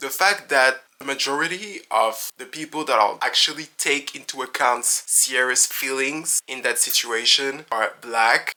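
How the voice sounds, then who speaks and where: Someone with a French accent speaks over noticeable background noise. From France. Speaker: reality TV commentator. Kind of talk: casual talk to camera, reality TV commentary.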